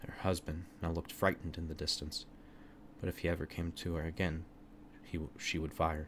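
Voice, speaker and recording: Flat and monotone, a man with a very deep, low, somewhat breathy voice talks at a fairly quick pace but takes long, frequent pauses. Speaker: narrator reading own written story. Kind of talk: horror story narration.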